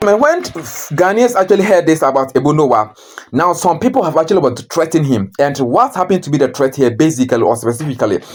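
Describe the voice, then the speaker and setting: Very fast speech over noticeable background noise. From Ghana. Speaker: news commentator YouTuber. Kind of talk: casual news commentary.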